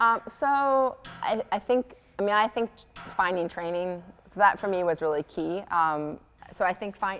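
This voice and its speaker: Over background music, a woman with a medium pitch speaks with lively intonation and long, frequent pauses. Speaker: professor of religion. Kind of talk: panel conversation. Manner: fast; many filler ums.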